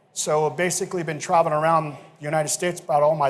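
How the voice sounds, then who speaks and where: Very fast speech with fairly even intonation and audible room echo. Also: man. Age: 60s. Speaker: chef. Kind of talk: casual interview; cooking demonstration. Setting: stage with audience. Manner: halting.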